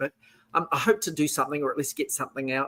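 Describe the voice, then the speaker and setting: In a very clean recording with a silent background, a man with a strong New Zealand accent speaks at a fairly high pitch with ordinary pitch variation. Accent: heavy New Zealand. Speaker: author and historian. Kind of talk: interview. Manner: hesitant, repeats words.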